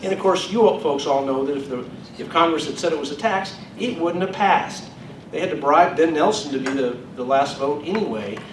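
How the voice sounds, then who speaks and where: A man talks with lively intonation at a fairly high pitch. Noticeable background noise and audible room echo fill the recording. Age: 60s. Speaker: state attorney general. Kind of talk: Q&A at a public event. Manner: hesitant, many fillers.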